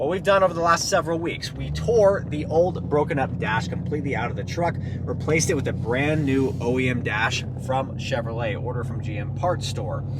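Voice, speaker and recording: There is noticeable background noise and audible room echo. A man talks fairly quickly at medium pitch, with lively intonation. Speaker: car DIY vlogger. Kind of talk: casual vlog talk while driving. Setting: in a car. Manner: loud.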